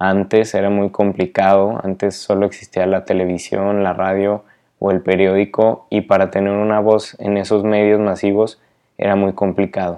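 A man speaks slowly, at a fairly unhurried pace. His fairly low pitch stays monotone, with flat intonation. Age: 20s. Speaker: podcaster and photographer. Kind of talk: casual monologue. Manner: halting, many repeated words.

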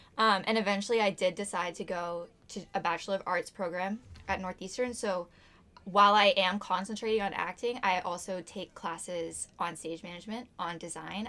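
A woman with a bright, sharp tone speaks at medium pitch and a moderate pace, her intonation fairly even. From Massachusetts, Topsfield. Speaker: theatre student. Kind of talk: casual chat.

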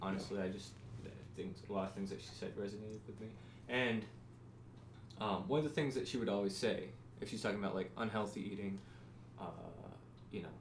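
Audible room echo is present. A man's voice sits fairly low in pitch. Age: 20s. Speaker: podcast co-host. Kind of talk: casual chat.

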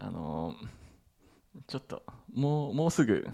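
The voice, dark and mellow in tone, swings very widely in pitch and moves at a fairly slow pace. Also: man. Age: middle-aged. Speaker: podcast co-host. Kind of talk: casual chat.

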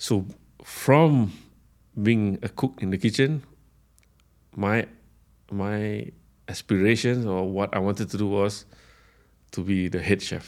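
A fairly low male voice at a very slow pace with long, frequent pauses, on a very clean recording with a silent background. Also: ordinary pitch variation. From Singapore. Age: 40s. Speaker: chef. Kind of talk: interview. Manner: halting.

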